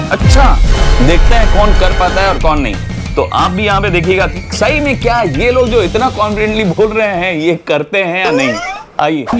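Clear music can be heard behind the speech. A man talks at a moderate pace. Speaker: family vlogger. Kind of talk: casual vlog chat. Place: home room. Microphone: lapel.

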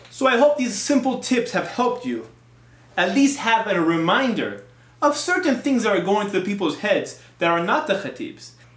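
A man's high pitch with big pitch swings and a fairly bright tone. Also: moderate pace.

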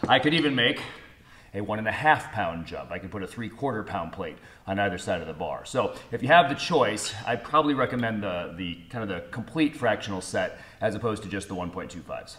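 Speaking at a fairly quick pace, a man with a fairly low pitch shows big swings in loudness. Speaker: strength coach. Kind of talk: tutorial. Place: gym. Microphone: camera far.

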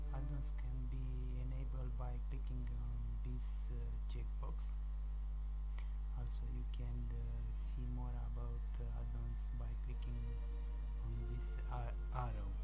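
Through loud background noise, a man speaks at a very slow pace with long, frequent pauses. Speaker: software tutorial maker. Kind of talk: screen tutorial narration.

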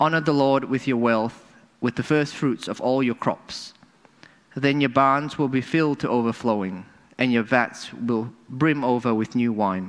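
Against a quiet background, a man with an unremarkable speaking voice and medium pitch talks at a fairly slow pace. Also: ordinary pitch variation. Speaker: scripture reader. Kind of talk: reading aloud. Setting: church. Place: church. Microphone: podium.

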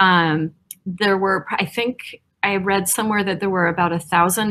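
A woman talks at a fairly slow pace with fairly even intonation against a quiet background. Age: 50s. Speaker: museum education director. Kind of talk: illustrated talk. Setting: senior center presentation with audience. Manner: halting, frequent fillers. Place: home room.

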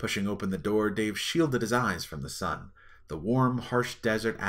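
Here someone reads in a natural voice.

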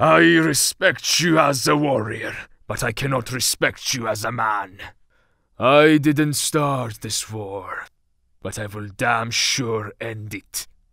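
A put-on character voice from a man, medium in pitch with ordinary pitch variation, fairly slow and with big swings in loudness, on a very clean recording with a silent background. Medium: voice reel. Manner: stern, intense.

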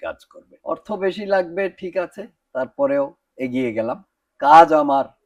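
A man's voice with very wide pitch swings against a quiet background. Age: 70s. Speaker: dental patient. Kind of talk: testimonial.

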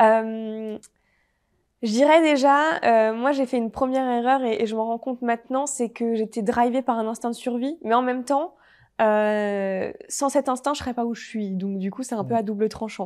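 A normal speaking voice moves at a moderate pace over a quiet background. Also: woman, fairly high pitch for a woman, ordinary pitch variation. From French Alps (Haute-Savoie); French Alps. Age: 20s. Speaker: entrepreneur; interview guest. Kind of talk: interview. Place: studio. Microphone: lapel.

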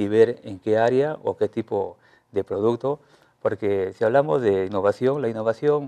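Over a quiet background, a man talks at a moderate pace. His tone is dark and mellow, with ordinary pitch variation. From Peru, La Libertad (Trujillo area); La Libertad, Peru. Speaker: teacher and innovation researcher; interviewee. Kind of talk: TV news interview. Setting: TV studio. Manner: halting, many fillers and repetitions. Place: studio. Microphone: lapel.

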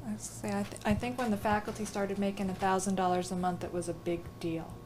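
Over noticeable background noise, a woman talks at a very fast pace in a medium pitch with lively intonation. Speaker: oral history interviewer. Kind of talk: interview questions.

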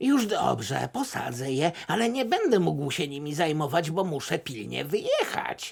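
A cartoonish character voice from a man, fairly high in pitch, at a moderate pace with hardly any pauses. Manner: hesitant, modest.

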